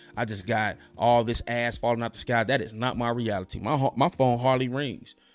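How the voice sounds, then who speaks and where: Over music in the background, a man with a medium pitch talks at a fairly quick pace with fairly even intonation. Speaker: podcast host. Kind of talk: monologue commentary. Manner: fast.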